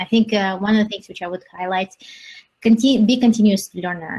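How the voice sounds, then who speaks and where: A woman's voice comes across as somewhat breathy, with fairly even intonation. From Soviet Union. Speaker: engineering executive. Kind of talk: panel discussion.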